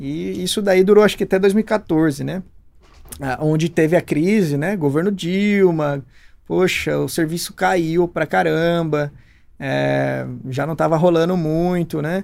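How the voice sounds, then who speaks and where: Speaking in a plain, everyday voice, this man keeps a fairly slow pace, his fairly high pitch moving with ordinary pitch variation. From Brazil, Campinas (São Paulo state). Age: 30s. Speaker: entrepreneur. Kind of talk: interview. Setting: studio.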